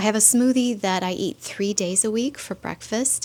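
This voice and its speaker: With a normal speaking voice, a woman talks at a moderate pace and ordinary pitch variation. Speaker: vlogger. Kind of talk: casual vlog talk to camera. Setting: home kitchen.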